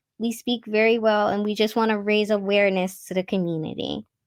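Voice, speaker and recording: Recorded very cleanly against a silent background, a woman speaks in a plain, everyday voice at a medium pitch. The sound is dry and close with no echo, and her intonation stays fairly even. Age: 20s. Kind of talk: interview conversation.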